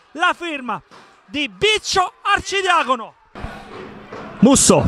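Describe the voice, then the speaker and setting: The voice is raised and projected. Noticeable background noise runs underneath. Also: man. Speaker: football match commentator. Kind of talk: live sports commentary. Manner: urgent, clipped calls that build up at chances.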